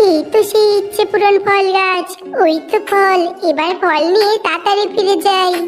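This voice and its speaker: Someone performs an extremely high, cartoonish character voice at a moderate pace, with clear background noise. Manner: polite, eager, fast.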